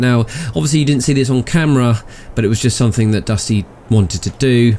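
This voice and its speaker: This man speaks at a medium pitch with a British accent, lively intonation and a dark, mellow tone. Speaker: gaming video host. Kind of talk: gameplay commentary. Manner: soft-spoken.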